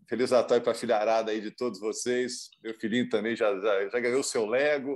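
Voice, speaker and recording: At a moderate pace and with hardly any pauses, the speaker uses a plain, everyday voice. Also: man, medium pitch for a man, fairly even intonation. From Minas Gerais, Brazil. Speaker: sports commentator. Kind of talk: casual chat.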